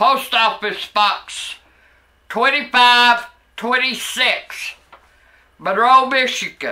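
A very slow delivery in a bright, sharp tone, with fairly even intonation against a quiet background. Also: woman, high pitch for a woman. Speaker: vlogger. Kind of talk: casual vlog rant. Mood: angry, complaining, profane. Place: home room. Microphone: camera far.

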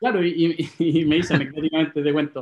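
With a Chilean accent, a man talks at a very fast pace in a high pitch. His intonation stays fairly even, and the background is quiet. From Santiago, Chile. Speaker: property investor; interview guest. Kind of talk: interview. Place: home room. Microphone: video call.

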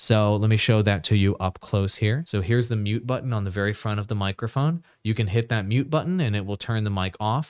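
A man talks at a fairly low pitch and a fairly quick pace, with few pauses. His tone is clear, smooth and slightly mellow, on a very clean recording with a silent background. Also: ordinary pitch variation.

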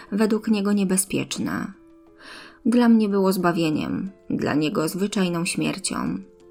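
A woman is speaking while music plays in the background. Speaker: audiobook narrator. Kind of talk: audiobook-style story narration.

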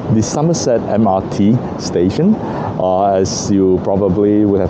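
Very slowly, a man talks while noticeable background noise goes on. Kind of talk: casual vlog chat. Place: street. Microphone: phone near.

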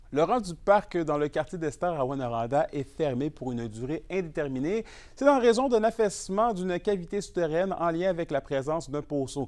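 With a Quebec accent, a man speaks at a high pitch and moderate pace, his intonation lively against a quiet background. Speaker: news anchor. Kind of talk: formal newsreading. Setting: studio. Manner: formal.

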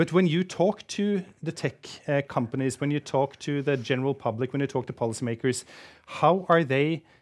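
Moderate pacing and ordinary pitch variation from a man. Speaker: research institute director and event host; event host. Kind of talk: formal welcome speech and Q&A moderation. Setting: stage with audience, live-streamed. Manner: formal. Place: stage. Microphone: headset.

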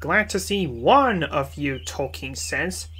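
The man talks at a medium pitch and a fairly slow pace.

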